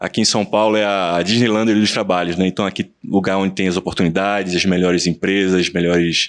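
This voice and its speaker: A man with a Pernambuco accent speaks at a fairly low pitch with fairly even intonation. The background is quiet. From Brazil, Pernambuco (Recife). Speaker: lawyer and business partner. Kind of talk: podcast interview. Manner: halting, with many repetitions.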